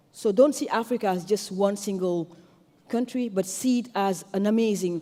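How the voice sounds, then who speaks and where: A woman's medium-pitched voice in a French accent, with ordinary pitch variation and a moderate pace. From Senegal. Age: 40s. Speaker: tech entrepreneur and activist. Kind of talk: conference speech.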